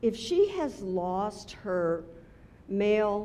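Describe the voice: Someone does plain reading aloud here.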